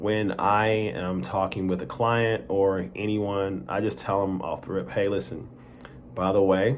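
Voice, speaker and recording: A man speaks at a fairly low pitch and fairly slow pace, with ordinary pitch variation and audible room echo. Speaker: vlogger. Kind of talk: personal story monologue. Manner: halting, repeated words; casual conversational.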